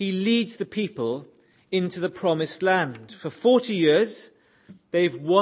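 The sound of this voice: The pitch varies an ordinary amount in this unforced reading voice.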